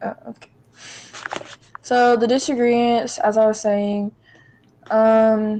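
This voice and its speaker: A woman's fairly high voice at a very slow pace, with fairly even intonation, big swings in loudness and long, frequent pauses. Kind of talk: casual chat.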